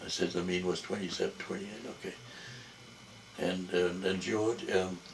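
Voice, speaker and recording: The speech is at a moderate pace with long, frequent pauses and a monotone, flat intonation, amid noticeable background noise and audible room echo. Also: man. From Jamaica. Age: old. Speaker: family elder interviewed by his son. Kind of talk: family interview. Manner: halting.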